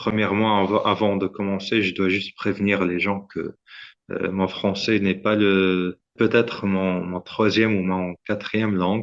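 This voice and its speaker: A man with a fairly low voice speaks at a fairly slow pace. His intonation stays monotone and flat. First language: Arabic and English (speaking French). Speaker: startup founder, medical inventor. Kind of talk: podcast interview. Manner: halting, many hesitations and repetitions.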